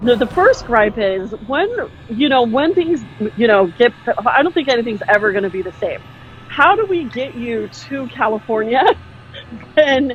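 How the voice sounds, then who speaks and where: A woman's high, animated voice with lively intonation and long, frequent pauses, over noticeable background noise. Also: moderate pace. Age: 40s. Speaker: podcast host. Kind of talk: casual interview.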